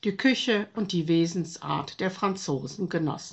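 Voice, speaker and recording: A woman talks at a fairly slow pace in an unremarkable speaking voice. It sits at medium pitch with ordinary pitch variation. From Germany. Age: 60s. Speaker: retired teacher. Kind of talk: testimony. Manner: formal.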